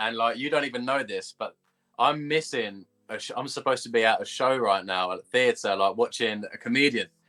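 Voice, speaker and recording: The voice has a bright, sharp tone and an English accent, with ordinary pitch variation. It moves at a fairly quick pace in a dry, close sound with no echo. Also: man. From England. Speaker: esports gamer. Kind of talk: interview. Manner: casual.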